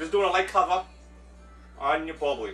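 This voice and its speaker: A man is heard with audible room echo and clear music in the background. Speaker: home cook host. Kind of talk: casual cooking tutorial. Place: kitchen. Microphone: camera far.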